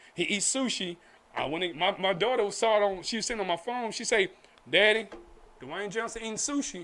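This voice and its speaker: Speaking fast-ish with an American accent, a man uses a raised, projected voice at a high pitch with ordinary pitch variation. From Oak Cliff, Dallas, Texas. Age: 40s. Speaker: film director and actor. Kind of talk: casual interview chat.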